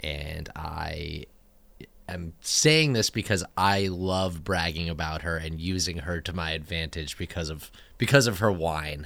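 A very deep, low male voice with an American accent, fairly slow with ordinary pitch variation, in a very clean recording with a silent background. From Northern California (San Francisco Bay Area). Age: 30s. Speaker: podcast co-host. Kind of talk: casual chat.

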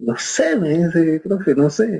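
A man speaks at a high pitch in a dark, mellow tone. His intonation is lively and his pace very slow. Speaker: orchestral bassoonist. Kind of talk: interview.

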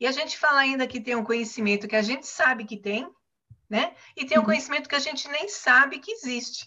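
At a very fast pace, a woman talks in a high pitch. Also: lively intonation. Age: 60s. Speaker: retired consultant and content producer. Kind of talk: casual chat. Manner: halting.

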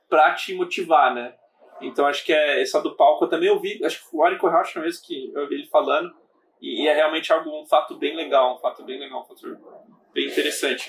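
A man at a fairly quick pace with big swings in loudness. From Brazil, São Paulo (born in Bahia). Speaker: podcast host and startup founder. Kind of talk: casual interview chat.

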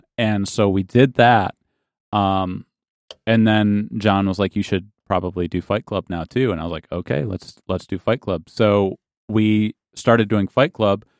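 A man with a Midwestern American accent talks in a fairly low pitch with ordinary pitch variation. The sound is dry and close with no echo, and the recording is very clean with a silent background. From western Michigan, small town. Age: 30s. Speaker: pastor. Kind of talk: testimony.

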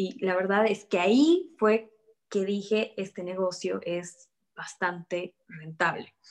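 A woman's medium-pitched voice at a very slow pace. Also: ordinary pitch variation. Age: 20s. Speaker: real estate agent. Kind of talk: interview.

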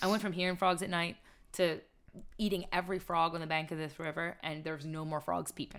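Speaking at a very fast pace in an American accent, a woman keeps a fairly low pitch and fairly even intonation. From Maryland, Carroll County. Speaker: reality TV survivalist. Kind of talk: casual interview.

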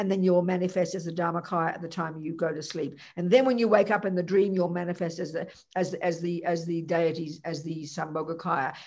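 In an Australian accent, the speaker talks at a fairly quick pace with hardly any pauses. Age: 70s. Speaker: Buddhist nun teacher. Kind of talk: Buddhist teaching talk with Q&A. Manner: casual, chatty, humorous.

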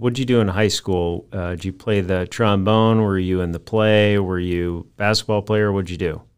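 A normal speaking voice at a moderate pace, fairly even in intonation, with hardly any pauses. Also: man, fairly low pitch for a man. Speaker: podcast host. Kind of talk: casual interview. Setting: video call.

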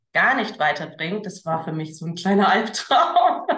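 The recording carries audible room echo. A woman talks with a fairly low pitch. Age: 30s. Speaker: entrepreneur, former teacher. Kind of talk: casual interview.

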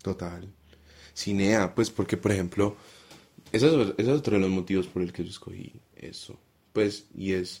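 A man talks fairly slowly, his pitch fairly low and his intonation fairly even. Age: 20s. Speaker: primary school teacher. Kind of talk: casual chat.

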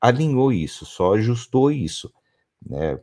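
This man speaks at a medium pitch. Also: very clean recording, silent background. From São Paulo state countryside, Brazil. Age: 40s. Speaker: company founder and CEO. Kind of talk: interview. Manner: halting, many repeated words.

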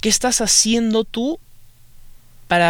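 The speaker has a Peruvian accent, and the recording is very clean with a silent background. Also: man. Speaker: podcaster. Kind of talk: casual monologue. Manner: halting.

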